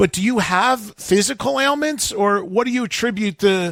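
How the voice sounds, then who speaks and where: Speaking with an American accent, a man uses a high pitch and lively intonation. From New Jersey. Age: 60s. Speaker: radio host. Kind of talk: interview.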